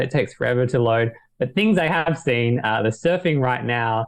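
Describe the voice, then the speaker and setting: A man talks at a fairly quick pace. His is a plain, everyday voice at a medium pitch. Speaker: podcast panelist. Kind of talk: casual chat.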